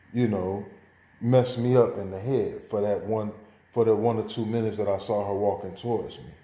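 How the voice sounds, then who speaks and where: With audible room echo, a dark, mellow voice in an American accent speaks with ordinary pitch variation. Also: man. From Chicago, US Midwest. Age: 40s. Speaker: student. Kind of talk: oral presentation.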